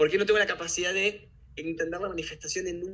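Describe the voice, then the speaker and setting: A high-pitched man with a Rioplatense accent, very fast and fairly even in intonation. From Buenos Aires, Argentina. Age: 30s. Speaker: personal development workshop leader. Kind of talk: interview conversation.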